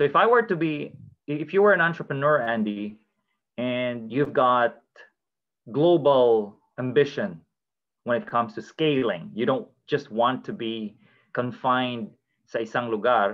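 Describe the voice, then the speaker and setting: With lively intonation, a man speaks at a medium pitch and a fairly slow pace. He leaves long, frequent pauses. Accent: Filipino. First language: Filipino. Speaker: blockchain community host. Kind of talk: casual educational discussion. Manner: informal, code-switching Taglish.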